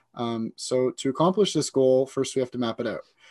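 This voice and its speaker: A man's unremarkable speaking voice at a medium pitch and moderate pace, with a dry, close sound with no echo and a quiet background. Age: 20s. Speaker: goal-setting guest. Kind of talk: casual chat.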